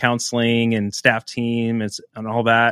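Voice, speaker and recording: A man of medium pitch speaks at a moderate pace in a Midwestern American accent. The recording is very clean with a silent background and a dry, close sound with no echo. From northeast Nebraska, US. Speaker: pastor and author. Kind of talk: casual interview.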